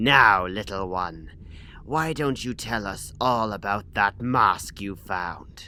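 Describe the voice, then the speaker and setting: Amid clear background noise, a man does a cartoonish character voice, fairly low in pitch and at a very slow pace. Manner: smooth, persuasive.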